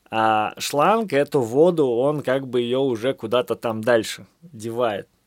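Recorded very cleanly over a silent background, with a dry, close sound and no echo, a man speaks at a medium pitch with ordinary pitch variation. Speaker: podcaster and author. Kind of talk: late-night solo monologue. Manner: casual, stream-of-consciousness.

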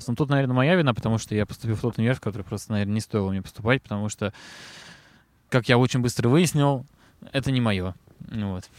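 A man at a medium pitch with ordinary pitch variation, talking at a very fast pace broken by long, frequent pauses, in a dry, close sound with no echo. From Moscow, Russia. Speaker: rock band vocalist. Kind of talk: casual interview. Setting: outdoors in a park.

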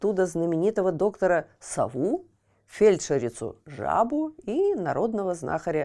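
The speaker uses a natural reading voice. Nothing else is noted.

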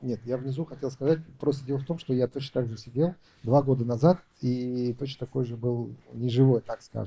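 At a moderate pace, a man speaks in a dark, mellow, somewhat breathy tone with fairly even intonation. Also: medium pitch for a man. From Uzbekistan. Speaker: entrepreneur. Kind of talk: business consultation.

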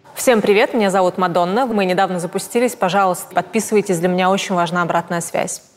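Over noticeable background noise, a woman talks very fast, her loudness very even and her intonation fairly even. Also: medium pitch for a woman. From Russia, Tomsk. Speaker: fashion journalist, podcast host. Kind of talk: interview.

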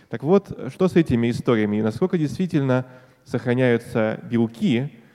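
The tone is dark and mellow as a man speaks at a moderate pace. The sound is dry and close, with no echo. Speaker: biologist, debate opponent. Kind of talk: stage debate Q&A. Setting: stage with audience.

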